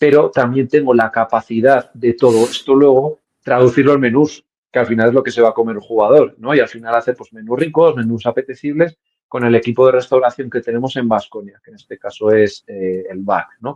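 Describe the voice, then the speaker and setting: At a fairly quick pace, a man talks in a medium pitch with fairly even intonation and big swings in loudness, the sound dry and close with no echo. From Navarre, Spain (Estella). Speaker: sports nutritionist. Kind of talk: interview. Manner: hesitant, many fillers.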